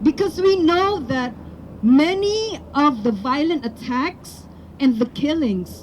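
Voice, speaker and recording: A woman's high voice in a Filipino accent, very slow, with very wide pitch swings and noticeable background noise. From Philippines. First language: Tagalog. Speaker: rally speaker. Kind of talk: public speech.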